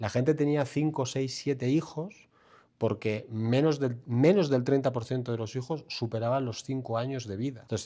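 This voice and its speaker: A man's medium-pitched voice with a dark, mellow tone and ordinary pitch variation, at a moderate pace, in a very clean recording with a silent background. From Spain, Bilbao (Basque Country). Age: 40s. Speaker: financial mentor and author. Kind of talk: interview conversation.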